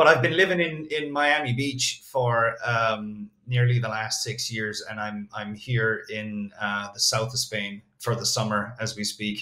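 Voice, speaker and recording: At a fairly slow pace with hardly any pauses, a man talks in a bright, sharp tone at a medium pitch with ordinary pitch variation. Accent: Irish. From Ireland. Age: 40s. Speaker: copywriter. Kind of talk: interview.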